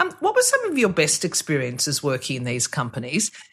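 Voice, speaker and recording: Speaking with an Australian accent, a woman keeps a moderate pace. Her pitch swings very widely. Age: 50s. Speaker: podcast host. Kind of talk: interview conversation.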